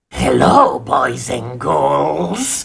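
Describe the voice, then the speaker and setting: A raspy, put-on character voice from a man. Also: very deep, low pitch for a man. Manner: cackling, creepy.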